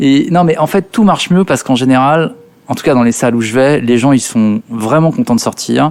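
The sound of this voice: A man's medium-pitched voice, fairly quick, slightly mellow in tone, with ordinary pitch variation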